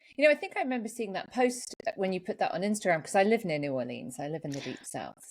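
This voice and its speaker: The speaker has an American accent and talks at a very fast pace with vocal fry. Pitch swings very widely and loudness rises and falls sharply. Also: woman, medium pitch for a woman. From England. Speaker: podcast host. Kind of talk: podcast interview.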